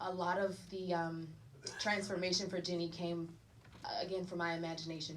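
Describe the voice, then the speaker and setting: With a Southern accent, a woman talks at a moderate pace and fairly low pitch. Her intonation is monotone and flat, and room echo is audible. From North Carolina, US South. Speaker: actor. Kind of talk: panel Q&A at screening. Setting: private screening with audience.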